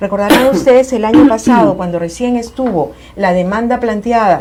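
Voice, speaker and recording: A woman speaks with a fairly high pitch and ordinary pitch variation. There is noticeable background noise. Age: 60s. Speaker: family court judge. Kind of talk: TV talk show interview.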